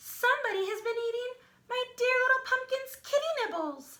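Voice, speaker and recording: A woman does a squeaky put-on character voice at an extremely high pitch. She keeps a moderate pace with ordinary pitch variation. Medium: read story.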